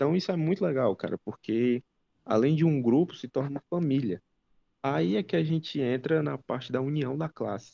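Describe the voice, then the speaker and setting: The tone is dark and mellow, the intonation lively and the pace moderate, recorded in a dry, close sound with no echo. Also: man. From Ceará, Brazilian Northeast. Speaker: diesel mechanic commentator. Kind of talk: casual chat. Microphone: poor audio in early parts, improves later.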